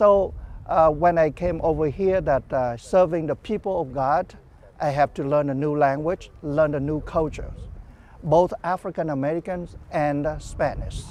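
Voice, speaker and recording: A man with a Vietnamese accent, fairly high in pitch, with fairly even intonation. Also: moderate pace. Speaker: parish priest. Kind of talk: interview. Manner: halting.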